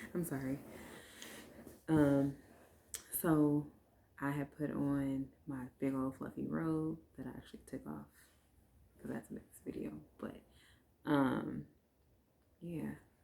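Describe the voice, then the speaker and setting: The speaker is whispering. The loudness swings a great deal. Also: woman. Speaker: vlogger, new mother. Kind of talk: casual chat. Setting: at home, recording late at night. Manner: low energy.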